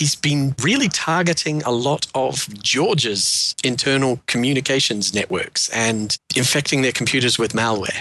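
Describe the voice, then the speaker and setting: With a New Zealand accent, a man speaks at medium pitch in a bright, sharp tone with ordinary pitch variation. His loudness stays very even at a moderate pace with hardly any pauses. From Wellington, New Zealand. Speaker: panelist. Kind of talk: casual chat.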